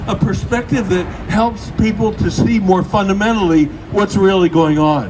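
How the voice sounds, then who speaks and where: Amid noticeable background noise and audible room echo, a man speaks at a high pitch with lively intonation. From Britain. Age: 80s+. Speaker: activist speaker. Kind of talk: speech at outdoor vigil.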